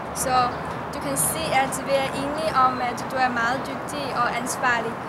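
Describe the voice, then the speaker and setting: Over loud background noise, a woman with a Chinese accent speaks at a fairly slow pace. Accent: Chinese-accented Danish. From China. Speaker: university student. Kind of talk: personal tribute. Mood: warm, smiling, a bit shy. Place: garden. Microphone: camera far.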